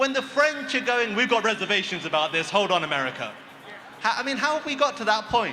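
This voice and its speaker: A man's extremely high, raised and projected voice with lively intonation at a very fast pace, over noticeable background noise. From Britain. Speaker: activist speaker. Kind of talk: rally speech. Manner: impassioned. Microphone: too far from microphone.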